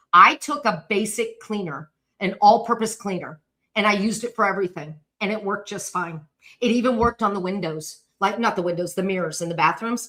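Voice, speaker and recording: A woman talks loudly at a fairly quick pace. Her tone is bright and sharp. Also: medium pitch for a woman, ordinary pitch variation. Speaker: decluttering coach. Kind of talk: live stream talk. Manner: fast.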